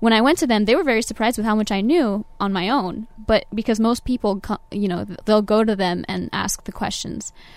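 Speaking at a very fast pace in a Californian accent, a woman keeps her fairly high pitch on a fairly even intonation. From Southern California (Orange County). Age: 20s. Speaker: Navy veteran, engineering student. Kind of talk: interview. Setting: studio.

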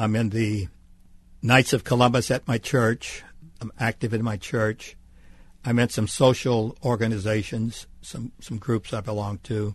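Over a quiet background, a man with an American accent speaks fairly slowly at a medium pitch, his voice somewhat breathy and his intonation fairly even. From US South, Mississippi Gulf Coast. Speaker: retired TV journalist. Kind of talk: interview. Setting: radio studio.

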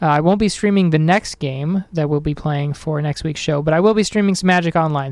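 At a fairly quick pace, a man with a fairly high pitch speaks in an upbeat, energetic tone. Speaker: radio host. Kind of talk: college radio show, DJ patter. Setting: studio. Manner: upbeat, chatty, casual, energetic radio patter.

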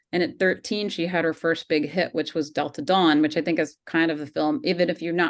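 A woman with an American accent has a plain, everyday voice at a fairly low pitch. She talks at a fairly quick pace against a quiet background. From US South, Georgia. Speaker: documentary filmmaker. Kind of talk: interview.

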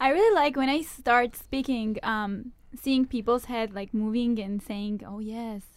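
A woman's fairly high voice at a fairly slow pace, with ordinary pitch variation. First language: not English. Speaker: university student, club vice president. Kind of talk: radio interview. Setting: radio studio. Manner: hesitant, many fillers.

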